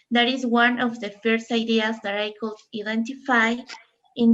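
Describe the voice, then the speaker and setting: This woman's voice sits fairly high. Her intonation is monotone and flat, at a moderate pace. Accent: Mexican. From Mexico, Mexico City. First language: Spanish. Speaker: social psychologist, conference panelist. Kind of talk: conference presentation.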